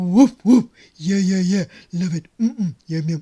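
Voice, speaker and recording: Using a cartoonish character voice, a woman talks at a moderate pace and a medium pitch. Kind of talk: children's puppet show.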